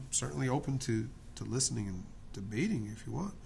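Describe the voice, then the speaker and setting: Audible room echo surrounds him as he speaks at moderate speed. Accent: American. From New Jersey, US. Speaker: artist and drawing tutor. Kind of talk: casual talk while drawing. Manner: halting, many fillers; animated, opinionated.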